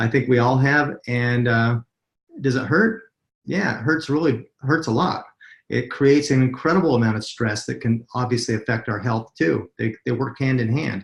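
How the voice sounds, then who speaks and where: Against a quiet background, a somewhat breathy man with an American accent speaks at a moderate pace, at a medium pitch with ordinary pitch variation. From US, Utah. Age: 50s. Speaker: network marketing presenter. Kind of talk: webinar sales presentation. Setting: webinar call.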